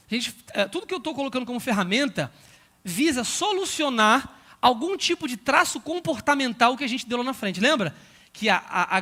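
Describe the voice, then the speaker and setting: Raising and projecting his voice, a man speaks at an extremely high pitch with a bright, sharp tone and lively intonation. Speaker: pastor and Bible school teacher trainer. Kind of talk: lecture. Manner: fast.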